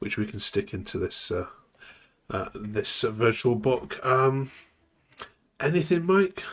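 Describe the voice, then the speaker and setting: Speaking in an English Midlands accent, a man at medium pitch moves slowly through his words with long, frequent pauses and very wide pitch swings. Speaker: football podcast host. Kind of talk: casual chat.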